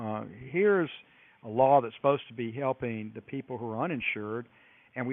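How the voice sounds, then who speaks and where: With an American accent, a man uses a normal speaking voice at medium pitch, moving at a fairly quick pace with ordinary pitch variation. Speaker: U.S. congressman. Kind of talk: radio interview answer.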